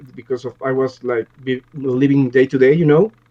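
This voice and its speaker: A man speaks at a moderate pace. He has a Mexican accent. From Mexico, Mexico City. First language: Spanish. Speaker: music producer and audio engineer. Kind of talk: interview. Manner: halting, many repeated words.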